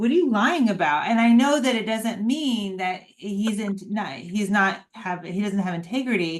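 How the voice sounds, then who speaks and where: With audible room echo, a woman speaks at a medium pitch and a moderate pace, her intonation lively and her speech carrying hardly any pauses. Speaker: dog owner and daughter of the featured guest. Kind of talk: casual chat. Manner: emphatic like a coach.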